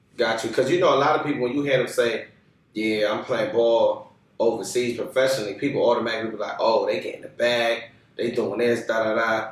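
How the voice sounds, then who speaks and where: A man talks at a fairly quick pace. Noticeable background noise is present behind him. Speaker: podcast host. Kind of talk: casual podcast interview talk. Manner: upbeat.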